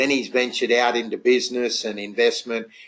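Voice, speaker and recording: With an Australian accent, the speaker talks at a fairly quick pace and with fairly even intonation. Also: man. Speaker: network marketing entrepreneur, webinar host. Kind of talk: webinar introduction. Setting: online webinar. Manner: hesitant, many fillers.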